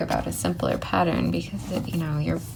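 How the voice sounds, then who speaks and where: There is audible room echo and noticeable background noise as a woman speaks at a moderate pace in a relaxed tone. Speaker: crafts YouTuber. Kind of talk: tutorial. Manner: casual, relaxed.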